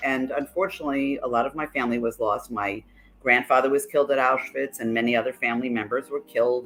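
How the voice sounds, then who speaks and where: A woman speaks with a New York accent at a very deep, low pitch. Her tone is bright and sharp. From New York City. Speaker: life coach. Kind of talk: interview.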